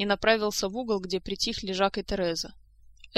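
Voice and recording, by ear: The reader speaks aloud in a natural voice, keeping the intonation fairly level.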